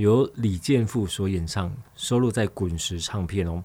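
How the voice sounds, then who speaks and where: Fairly slow pace from a man, with ordinary pitch variation. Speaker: radio host. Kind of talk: casual radio talk. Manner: animated.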